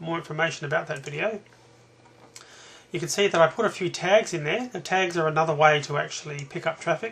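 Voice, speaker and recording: Speaking at a very fast pace, a man uses a high voice. He talks in an Australian accent. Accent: Australian, noticeable. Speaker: internet marketer. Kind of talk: tutorial. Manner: hesitant, many fillers.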